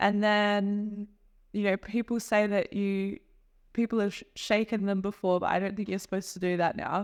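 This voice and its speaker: Monotone, flat delivery at a moderate pace in an Australian accent. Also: woman, medium pitch for a woman. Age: 30s. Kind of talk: interview answer.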